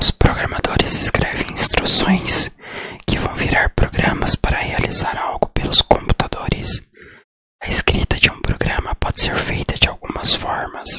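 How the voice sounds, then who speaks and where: Whispering at a fairly slow pace, a man is heard in a dry, close sound with no echo. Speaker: programming teacher. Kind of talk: ASMR educational whisper. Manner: whispered.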